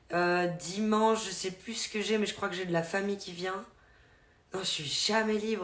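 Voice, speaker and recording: A woman with a slight Vaud accent, fairly even intonation and a moderate pace, with audible room echo and noticeable background noise. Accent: slight Swiss French (Vaud). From Switzerland, canton of Vaud. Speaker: streamer. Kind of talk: casual live-stream chat. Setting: live stream.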